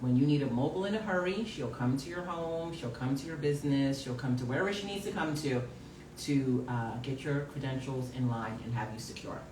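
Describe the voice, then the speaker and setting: A man speaks at a fairly quick clip with a fairly high pitch and lively intonation. Audible room echo and noticeable background noise surround his voice. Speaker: live show co-host. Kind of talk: casual live-stream chat. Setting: live stream.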